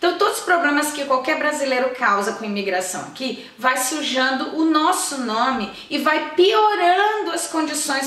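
A woman with hardly any pauses, in audible room echo. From Brazil. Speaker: YouTuber. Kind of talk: vlog tutorial. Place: home room.

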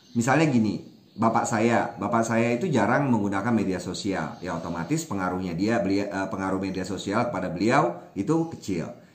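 The speech comes at a fairly quick pace with hardly any pauses. Room echo is audible. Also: man. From Indonesia, Minangkabau (West Sumatra); Indonesia. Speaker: language activist, Wikipedia editor; guest. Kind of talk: interview. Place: home room. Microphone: webcam.

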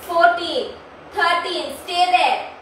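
A woman's extremely high-pitched voice amid noticeable background noise. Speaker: yoga instructor. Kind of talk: guided yoga class. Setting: online video session. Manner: brisk, encouraging, counting reps.

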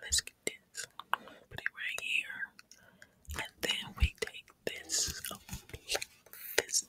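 A woman whispers at a very slow pace, with long, frequent pauses. Her loudness swings widely. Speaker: ASMR creator. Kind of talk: ASMR whispering. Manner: whispered, slow. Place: home room. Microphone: studio mic.

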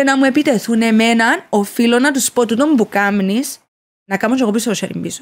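A woman's fairly high voice in a Cypriot accent, with ordinary pitch variation and a moderate pace. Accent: Cypriot Greek. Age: 30s. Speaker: social media influencer. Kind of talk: casual interview. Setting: studio.

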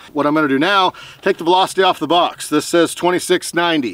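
A man talks at a fairly quick pace with fairly even intonation in a dry sound with no echo. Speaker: outdoor channel host. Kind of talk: tutorial. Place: open country.

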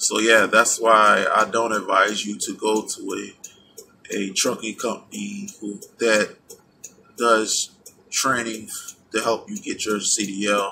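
A man speaks at a very slow pace, with long, frequent pauses. Music plays in the background. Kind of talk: casual vlog chat. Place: car. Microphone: phone near.

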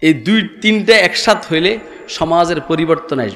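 With ordinary pitch variation, a man delivers his words in an animated tone. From Bangladesh. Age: old. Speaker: Islamic preacher. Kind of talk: sermon. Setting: religious gathering with audience. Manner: animated, rhetorical questions to the crowd. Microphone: podium.

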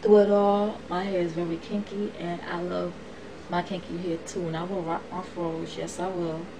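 The voice has a monotone, flat intonation at a moderate pace. Noticeable background noise runs underneath. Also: woman. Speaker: vlogger. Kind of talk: casual vlog monologue. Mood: passionate, emphatic. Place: home room. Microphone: webcam.

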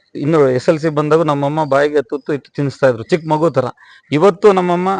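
In a plain, everyday voice, a man speaks at a fairly high pitch with fairly even intonation and a dry, close sound with no echo. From Bangalore, India (born in Hubli). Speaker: businessman. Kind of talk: interview.

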